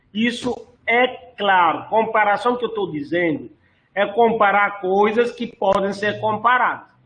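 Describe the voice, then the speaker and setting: A man's high-pitched voice, bright and sharp in tone, at a fairly slow pace with ordinary pitch variation. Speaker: course instructor. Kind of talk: online lecture.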